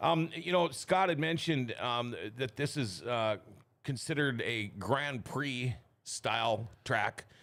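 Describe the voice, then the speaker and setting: A man's lively intonation moves along at a fairly slow pace. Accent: Upper Midwest. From Minnesota (Thief River Falls). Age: 60s. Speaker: talk show host. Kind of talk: casual chat. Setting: studio.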